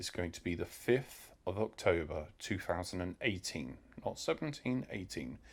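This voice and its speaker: A man with a British accent speaks at a moderate pace in a very deep, low voice with vocal fry and very wide pitch swings. The recording is very clean, the background silent. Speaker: delivery rider and vlogger. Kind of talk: informal tutorial. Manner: hesitant, many fillers.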